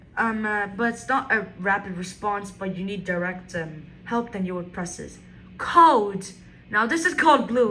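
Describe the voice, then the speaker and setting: A bright, sharp tone with lively intonation and big swings in loudness at a fairly slow pace, with audible room echo. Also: woman, medium pitch for a woman. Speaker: product demonstrator. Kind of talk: product demonstration. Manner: halting, many fillers.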